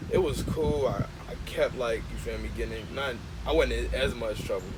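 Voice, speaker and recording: Moderate-paced speech from a man with an American accent, with audible room echo and noticeable background noise. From Gary, Indiana, US Midwest. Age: 20s. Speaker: documentary filmmaker. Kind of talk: interview. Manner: casual, halting with fillers.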